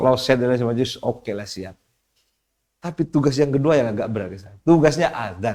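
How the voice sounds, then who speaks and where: A man's medium-pitched voice, dark and mellow in tone, with lively intonation and big swings in loudness. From Madura, East Java, Indonesia. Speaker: Islamic cleric and community leader. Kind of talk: podcast interview. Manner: halting.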